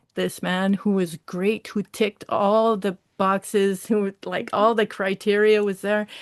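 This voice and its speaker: Against a quiet background, a woman with a Quebec accent speaks fairly slowly at a medium pitch, her intonation fairly even and the sound dry and close with no echo. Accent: Quebecois French. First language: French. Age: 40s. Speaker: social service worker. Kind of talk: testimony. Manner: halting.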